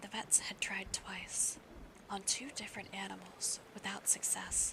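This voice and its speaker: The speech is whispered at a moderate pace. Noticeable background noise is present. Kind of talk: ASMR audiobook reading aloud of a novel; live stream reading.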